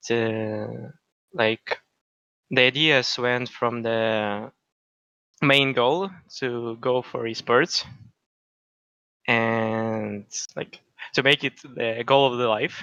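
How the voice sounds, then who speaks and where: A man with a non-native accent talks at a very slow pace with long, frequent pauses, using a medium pitch, fairly even intonation and a bright, sharp tone in a dry, close sound with no echo. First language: not English. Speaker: gamer being coached. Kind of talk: coaching session. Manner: halting.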